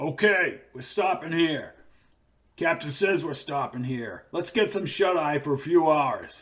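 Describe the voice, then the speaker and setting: Putting on a character voice, a man sounds gruff and raspy, pitched fairly high, at a fairly slow pace with ordinary pitch variation. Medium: read story. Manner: blunt, slangy, commanding.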